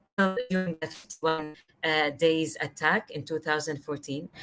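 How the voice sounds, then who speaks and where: This woman speaks at a fairly slow pace. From Gaza, Palestine. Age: 20s. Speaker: visual artist. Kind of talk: panel discussion.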